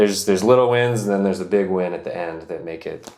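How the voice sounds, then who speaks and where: A man talks with fairly even intonation. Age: 20s. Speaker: camper van builder. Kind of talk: interview testimony. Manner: casual, with fillers.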